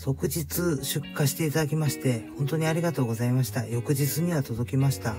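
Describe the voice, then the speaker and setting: A man's voice with music in the background. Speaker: trike owner, parent. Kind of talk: DIY repair video narration. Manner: polite.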